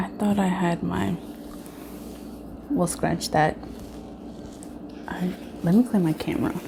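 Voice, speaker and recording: A soft-spoken woman talks at a fairly slow pace and a fairly low pitch, leaving long, frequent pauses. Her intonation is lively. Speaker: YouTube vlogger. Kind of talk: casual mukbang vlog chat. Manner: soft-spoken, talking low.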